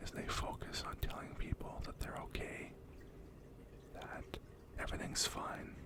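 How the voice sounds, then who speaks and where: Whispering at a fairly slow pace, a man leaves long, frequent pauses over noticeable background noise. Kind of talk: ASMR positive affirmations and words of wisdom. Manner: soft whispered.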